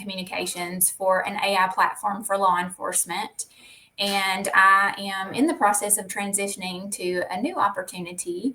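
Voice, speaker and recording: A woman speaks with a Southern US accent. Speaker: public information officer and educator. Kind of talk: interview.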